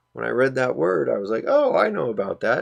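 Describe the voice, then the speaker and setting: A man speaks in a soft-spoken voice. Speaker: screen-recording tutorial creator. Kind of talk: tutorial. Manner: animated. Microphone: distorts when talking loud.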